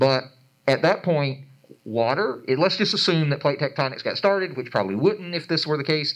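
With a Georgia accent, a man speaks in a fairly high voice with lively intonation. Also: moderate pace, quiet background. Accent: Southern US, Georgia. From Atlanta, Georgia. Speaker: planetarium educator and researcher; planetarium educator. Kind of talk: panel discussion. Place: hall.

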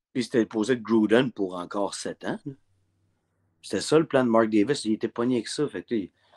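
A man's moderate-paced speech with ordinary pitch variation and long, frequent pauses, against a quiet background. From Quebec. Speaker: sports broadcaster. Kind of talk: casual chat. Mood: casual, chatty. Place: home room. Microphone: video call.

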